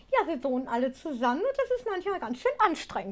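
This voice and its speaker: A woman speaks at an extremely high pitch. Her pitch swings very widely. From Ruhr area, Germany (Gelsenkirchen). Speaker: ventriloquist and singer. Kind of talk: interview.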